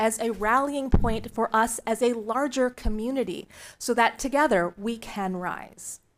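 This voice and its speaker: In an ordinary speaking voice, a woman talks at a fairly slow pace and fairly high pitch with ordinary pitch variation, on a very clean recording with a silent background. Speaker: nonprofit fund board chair presenting to school board. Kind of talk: formal presentation. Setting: public board meeting.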